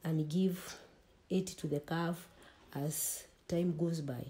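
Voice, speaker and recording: A woman's somewhat breathy, fairly low-pitched voice at a very slow pace. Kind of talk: interview answer. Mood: calm, explanatory. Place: home room.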